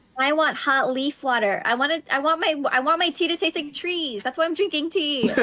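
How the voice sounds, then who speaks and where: Speaking in a raised, projected voice at a high pitch, a woman moves at a fairly quick pace with hardly any pauses and ordinary pitch variation over noticeable background noise. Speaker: podcast guest, theatre person. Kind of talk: casual chat.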